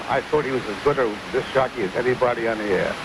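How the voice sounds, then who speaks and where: Speaking with a New York accent, a man moves at a fairly quick pace. Noticeable background noise is present. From New York City (Brooklyn). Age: 70s. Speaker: caller, war veteran. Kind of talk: phone-in radio chat. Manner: repetitive, halting.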